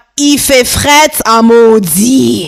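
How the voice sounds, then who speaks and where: A woman with a Congolese accent speaks at a fairly high pitch. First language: Lingala (speaking French). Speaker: podcast host. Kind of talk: casual podcast monologue. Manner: animated, upbeat.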